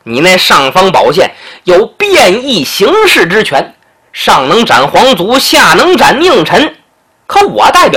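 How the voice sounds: Quiet surroundings and a natural reading voice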